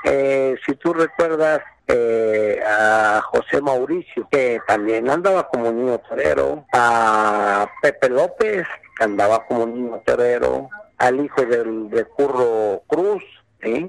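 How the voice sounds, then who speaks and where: A man speaks at medium pitch and a very slow pace with lively intonation, and the sound is dry and close with no echo. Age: 60s. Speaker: bullfighting promoter and former novice bullfighter. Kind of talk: interview. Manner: halting, repetitive.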